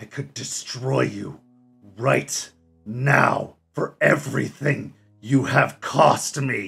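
A man uses a put-on, raspy character voice at a medium pitch, speaking at a very slow pace. Faint music plays in the background. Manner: bitter, furious.

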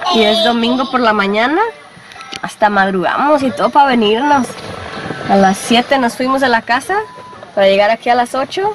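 Pausing long and often at a moderate pace, a woman talks in a high pitch with ordinary variation and very even loudness, in a dry sound with no echo and over noticeable background noise. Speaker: family vlogger. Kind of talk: casual vlog chat. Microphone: phone near.

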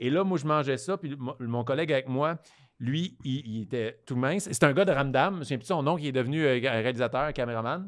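Against a quiet background, a man with a Quebec accent speaks at a moderate pace, his fairly high pitch moving with ordinary variation. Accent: Québécois French. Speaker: comedian and podcast co-host; comedian, podcast co-host. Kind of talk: casual chat. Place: studio. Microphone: studio mic.

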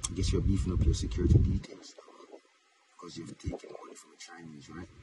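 Loud background noise runs under a man talking at a fairly quick pace, with a dry sound that has no echo. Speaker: commentator. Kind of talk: casual social media rant. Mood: critical, sarcastic. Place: car. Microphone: phone near.

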